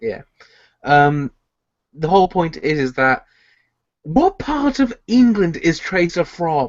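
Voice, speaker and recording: A man with a British accent at a high pitch, very slow and broken by long, frequent pauses, with very wide pitch swings. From Britain. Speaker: podcast co-host. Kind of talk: casual chat.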